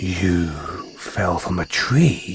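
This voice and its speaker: Putting on a character voice, a man pitches it very deep and low. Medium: audio drama. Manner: affectionate, calls listener darling; refined, slightly condescending toward humans.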